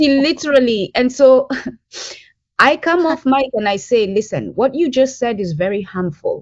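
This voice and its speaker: A woman with an East African accent speaks at a moderate pace. Her high voice has lively intonation. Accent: unchanged East African. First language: Bantu language (mother tongue). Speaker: language advocate. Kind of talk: podcast interview.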